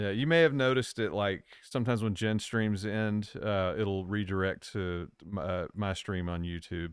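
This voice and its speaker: This man has an American accent. The recording is very clean and the background silent. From Virginia, US South. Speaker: co-host streamer. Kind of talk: casual live stream chat.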